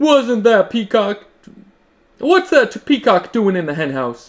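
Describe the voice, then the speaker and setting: A man puts on a character voice, pitched high with very wide swings, at a fairly slow pace. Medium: read story.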